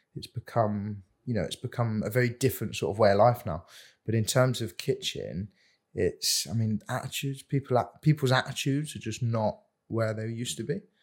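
A man's medium-pitched, somewhat breathy voice at a fairly quick pace with ordinary pitch variation, on a very clean recording with a silent background. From Jersey. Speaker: chef. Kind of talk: casual interview chat.

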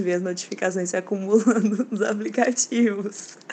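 A woman with an ordinary speaking voice talks at a moderate pace, her pitch rising and falling in the usual way. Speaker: designer. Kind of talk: recorded monologue.

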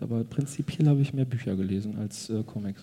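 A man with a medium pitch and a dark, mellow tone talks at a very fast pace, somewhat breathy, with ordinary pitch variation. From Ruhr area, Germany. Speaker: cartoonist. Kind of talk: casual chat. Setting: stage with audience.

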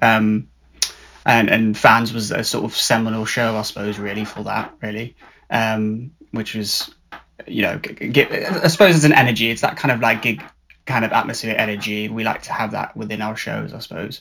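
A man has an unremarkable speaking voice at a medium pitch. His pace is moderate and his intonation fairly even. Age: 30s. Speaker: theatre performer. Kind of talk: casual chat.

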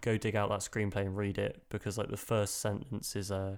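A man with a British accent speaks at a moderate pace in a monotone, flat intonation. The recording is very clean, with a silent background. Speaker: film podcast co-host. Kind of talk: casual chat.

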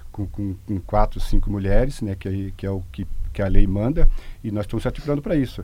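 With a dark, mellow tone and a fairly low pitch, a man talks at a fairly quick pace with lively intonation and big swings in loudness. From Santa Catarina, Brazil (Rio do Sul area). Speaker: local party president. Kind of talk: radio interview. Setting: radio studio. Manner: halting.

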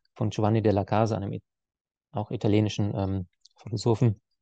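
In a dry, close recording with no echo and a quiet background, a man speaks with a dark, mellow tone and fairly even intonation. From Swabia, Germany (Heilbronn area). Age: 30s. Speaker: etiquette and conflict trainer. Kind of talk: podcast interview. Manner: hesitant, many filler sounds.

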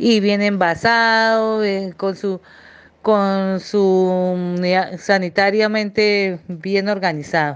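Against a quiet background, a woman at a medium pitch talks very slowly with fairly even intonation. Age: 40s. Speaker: primary school teacher. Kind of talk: interview. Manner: halting, many fillers.

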